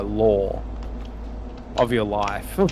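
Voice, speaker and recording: Someone with an Australian accent is heard over noticeable background noise. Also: man. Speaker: gamer on a live stream. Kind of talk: casual chat.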